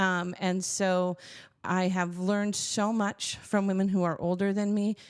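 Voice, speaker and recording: In a very clean recording with a silent background, a woman speaks fairly slowly at a medium pitch, her loudness very even and her intonation flat and monotone. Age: 50s. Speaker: church executive director, former music teacher. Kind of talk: podcast interview.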